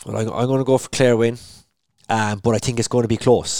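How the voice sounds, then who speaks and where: A man talks very fast in an Irish accent with monotone, flat intonation. The sound is dry and close with no echo. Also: very clean recording, silent background. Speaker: podcast host. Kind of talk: casual sports chat.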